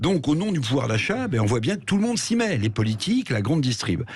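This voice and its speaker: Very wide pitch swings from a man speaking fairly quickly. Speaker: radio commentator. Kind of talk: radio commentary on economics and politics.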